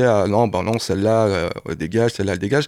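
A man speaks at a fairly quick pace in a fairly low voice with ordinary pitch variation. The recording is very clean, with a silent background. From Paris suburbs, Seine-Saint-Denis. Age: 50s. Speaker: singer-songwriter. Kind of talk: radio interview. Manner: halting, many hesitations.

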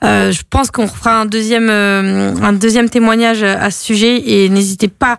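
A woman's plain, everyday voice, medium in pitch, with fairly even intonation. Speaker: radio host. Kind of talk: casual radio chat. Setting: radio studio. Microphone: speaks too close to the mic.

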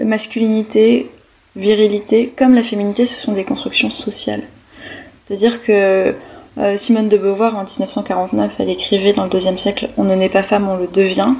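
Noticeable background noise runs under the recording. The speaking pace is moderate. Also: woman, medium pitch for a woman, ordinary pitch variation. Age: 20s. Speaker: history PhD student. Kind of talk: interview.

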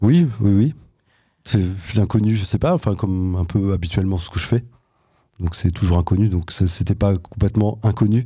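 A man's dark, mellow, somewhat breathy voice at a moderate pace, with long, frequent pauses on a very clean recording with a silent background. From Switzerland. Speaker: dancer and choreographer. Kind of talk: radio interview.

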